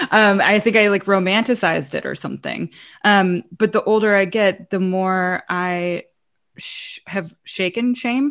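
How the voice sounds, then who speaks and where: A woman with an American accent has an unremarkable speaking voice at a medium pitch. She talks at a fairly slow pace with ordinary pitch variation over a quiet background. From US South. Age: 40s. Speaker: musician and advocate. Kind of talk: casual chat.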